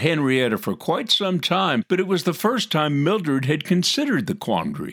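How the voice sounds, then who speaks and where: A man with a fairly high pitch and vocal fry speaks at a moderate pace, his pitch swinging very widely. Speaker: announcer and narrator. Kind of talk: announcing and narration.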